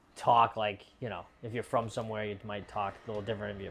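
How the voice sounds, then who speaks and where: Here a man speaks at a fairly quick pace. His pitch is fairly low. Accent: Boston. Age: 30s.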